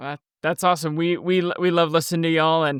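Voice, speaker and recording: A man with a slight Texas accent speaks at a fairly high pitch. The recording is very clean with a silent background and a dry, close sound with no echo. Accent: slight Texas twang. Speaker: podcast host. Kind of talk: casual interview. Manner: halting.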